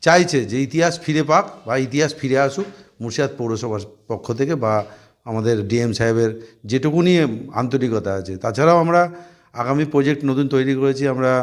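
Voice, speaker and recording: Here is a man with an unremarkable speaking voice. He talks at medium pitch with ordinary pitch variation. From Murshidabad, West Bengal, India. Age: 50s. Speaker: municipal chairman. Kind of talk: press interview.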